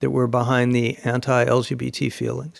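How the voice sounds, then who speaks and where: Here is a man with an American accent and an unremarkable speaking voice. His pitch is medium and his pace moderate. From United States. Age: 60s. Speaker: author and think-tank scholar. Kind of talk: podcast interview.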